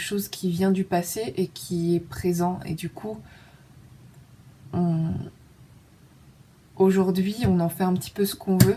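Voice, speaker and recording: The voice is dark, mellow and somewhat breathy, with ordinary pitch variation. It moves at a very slow pace. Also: woman. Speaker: vlogger. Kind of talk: casual personal monologue. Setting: dark room at home. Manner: hesitant, many fillers; intimate, low-key.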